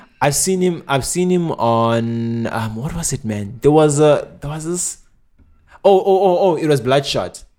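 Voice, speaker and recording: Fairly slow and lively in intonation, a man speaks in a dark, mellow tone at a fairly high pitch. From South Africa. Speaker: podcast co-host. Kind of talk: casual chat.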